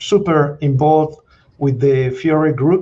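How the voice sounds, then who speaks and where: Speaking very slowly with an Argentine accent, a man has a fairly high pitch. His tone is dark and mellow and somewhat breathy. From Argentina. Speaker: mining company CEO and geologist. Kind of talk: interview.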